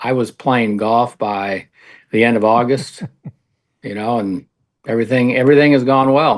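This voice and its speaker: A man with an American accent speaks in a normal speaking voice at medium pitch, at a moderate pace and with fairly even intonation. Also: quiet background. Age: 60s. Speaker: retired coach and athletic director. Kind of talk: radio interview.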